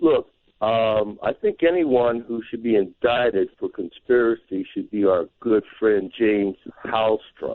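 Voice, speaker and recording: In a normal speaking voice, a man talks at a fairly slow pace and a medium pitch with ordinary pitch variation. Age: 60s. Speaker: caller. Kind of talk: phone-in call. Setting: Skype call.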